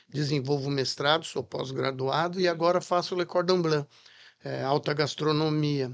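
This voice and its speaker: Fairly high in pitch, a man has an unremarkable speaking voice and fairly even intonation. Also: fairly slow pace. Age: 60s. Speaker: chef and restaurant franchise founder. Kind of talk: podcast interview.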